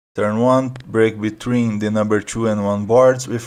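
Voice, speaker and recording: On a very clean recording with a silent background, a man with a non-native accent talks in a monotone, flat intonation. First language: not English. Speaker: sim racing video creator. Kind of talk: tutorial.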